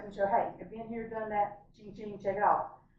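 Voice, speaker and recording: Noticeable background noise is present in the clip. Behind it, a woman talks at a medium pitch. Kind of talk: casual vlog talk to camera. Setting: hotel room. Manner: fast.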